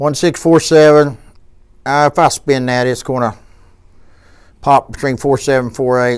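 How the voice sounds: With a clear, smooth tone at medium pitch, a man speaks with fairly even intonation. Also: fairly slow pace.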